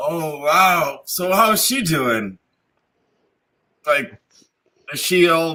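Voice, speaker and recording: Speaking very slowly with long, frequent pauses, a man uses a high pitch, lively intonation and a bright, sharp tone. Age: 40s. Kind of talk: casual chat. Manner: animated.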